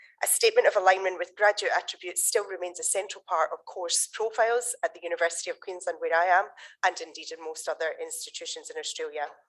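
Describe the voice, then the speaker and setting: Speaking very fast with a Scottish accent, a woman barely pauses at all. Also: big swings in loudness. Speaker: conference session chair. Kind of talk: conference introduction.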